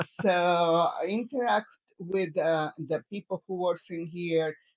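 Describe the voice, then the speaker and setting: In a Spanish accent, a woman with a fairly low pitch speaks very slowly with ordinary pitch variation, the sound dry and close with no echo. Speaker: retired travel vlogger. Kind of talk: casual chat. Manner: halting.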